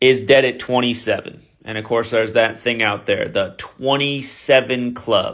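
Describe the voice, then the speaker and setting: In a normal speaking voice, a man talks at a medium pitch and a moderate pace with fairly even intonation and hardly any pauses. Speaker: gematria conspiracy video host. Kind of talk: solo commentary video.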